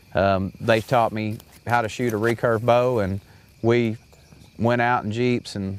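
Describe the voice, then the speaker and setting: The man's voice holds a medium pitch with monotone, flat intonation. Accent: Arkansas. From US South, central Arkansas. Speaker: hunting show host. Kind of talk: casual interview storytelling.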